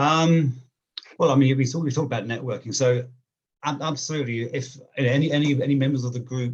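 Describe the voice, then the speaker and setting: A somewhat breathy man's voice at medium pitch, fairly quick pace with long, frequent pauses, and fairly even intonation. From England, near London. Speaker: job seeker, accountant. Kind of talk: interview on video call. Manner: fast; halting, many fillers and repeats.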